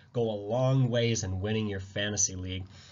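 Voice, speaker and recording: With ordinary pitch variation and a somewhat breathy tone, this man talks at a moderate pace. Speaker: fantasy football analyst. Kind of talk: casual sports commentary.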